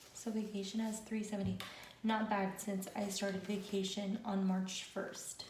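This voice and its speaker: A woman speaks at a moderate pace and medium pitch, monotone and flat, with very even loudness, over noticeable background noise. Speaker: budgeting vlogger. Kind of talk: casual talk to camera.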